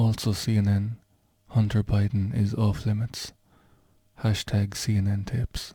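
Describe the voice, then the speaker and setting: At a fairly slow pace, a man speaks in a fairly low, dark, mellow tone that is somewhat breathy, with very even loudness and monotone, flat intonation. Long, frequent pauses break up his speech. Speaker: vlogger. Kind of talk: casual talk to camera.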